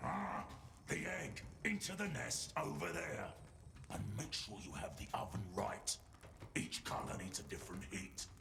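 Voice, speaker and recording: Over loud background noise, a man does a put-on character voice at a moderate pace with long, frequent pauses. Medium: video game. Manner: curt, grumbling, dismissive.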